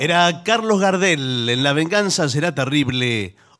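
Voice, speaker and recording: The voice moves at a very slow pace with very wide pitch swings, over a quiet background. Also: man. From Argentina. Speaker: radio co-host and announcer; radio host. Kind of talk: radio comedy chat. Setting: radio studio. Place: studio.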